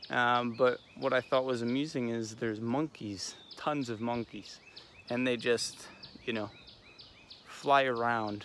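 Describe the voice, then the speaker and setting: A quiet man at medium pitch, monotone and flat, with long, frequent pauses. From USA. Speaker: fitness vlogger. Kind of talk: casual vlog monologue. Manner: quiet, subdued.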